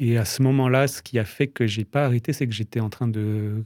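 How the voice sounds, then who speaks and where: On a very clean recording with a silent background, a man with medium pitch and a dark, mellow, somewhat breathy tone talks at a fairly quick pace, the sound dry and close with no echo. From France, Strasbourg. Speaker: novelist. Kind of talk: interview. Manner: halting, with hesitations.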